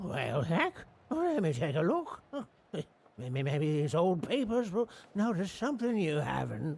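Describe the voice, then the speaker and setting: In a put-on character voice, a man speaks with a rural American accent and a high pitch that swings very widely. His pace is fairly slow, with long, frequent pauses. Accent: folksy rural American. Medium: video game. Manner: folksy, rambling, stammering.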